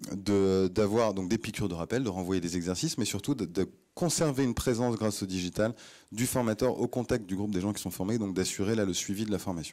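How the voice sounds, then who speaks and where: The recording is very clean, with a silent background. A man speaks at a fairly quick pace in a fairly low voice with ordinary pitch variation. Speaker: startup CEO, conference speaker. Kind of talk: conference talk. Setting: stage with audience. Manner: fast; hesitant, many fillers and repetitions.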